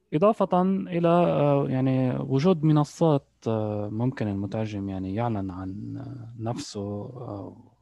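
Dark and mellow in tone, a man speaks very slowly at a medium pitch, with very wide pitch swings and big swings in loudness. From Lebanon. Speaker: translator and interpreter. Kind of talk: casual interview. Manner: halting, many fillers.

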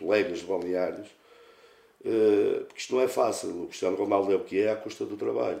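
A man speaks at a fairly quick pace. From northern Portugal, Santa Maria de Lamas. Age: 40s. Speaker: football coach, former player. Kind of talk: casual interview.

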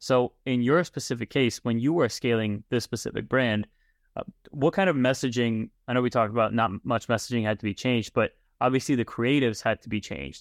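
On a very clean recording with a silent background, a man of medium pitch speaks fairly quickly in a normal speaking voice with ordinary pitch variation. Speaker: podcast host. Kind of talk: casual interview chat.

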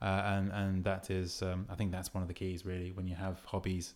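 Very fast speech comes from a man with a very deep, low voice. Nothing but silence surrounds it in this very clean recording. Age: 30s. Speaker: podcast host, dating coach. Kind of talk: casual chat.

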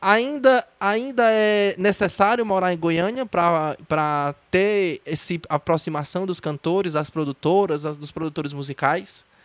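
A man with a high pitch speaks fairly slowly, his intonation lively. The sound is dry and close, with no echo. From Ceará, Brazil. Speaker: podcast host, journalist. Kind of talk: casual interview. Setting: remote call.

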